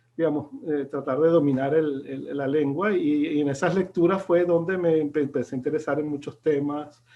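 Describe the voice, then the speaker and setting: Speaking at a moderate pace with hardly any pauses, a man keeps a fairly high pitch and fairly even intonation. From Venezuela, then Italy from age 13. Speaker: film expert and short film maker. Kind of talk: interview conversation. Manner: halting, many repetitions.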